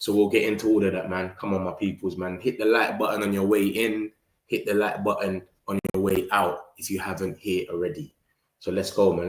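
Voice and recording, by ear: A man with a low pitch speaks at a fairly quick pace, his pitch moving little. Room echo is audible.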